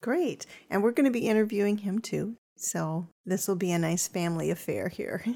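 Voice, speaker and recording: A woman's dark, mellow voice at a medium pitch, with a moderate pace and ordinary pitch variation. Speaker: podcast host. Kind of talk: casual interview.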